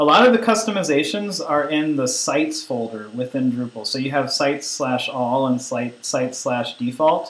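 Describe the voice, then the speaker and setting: A fairly high-pitched man with lively intonation and hardly any pauses, amid audible room echo and noticeable background noise. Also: moderate pace. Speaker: online course instructor. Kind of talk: tutorial. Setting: conference call with screen sharing. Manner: hesitant, many fillers.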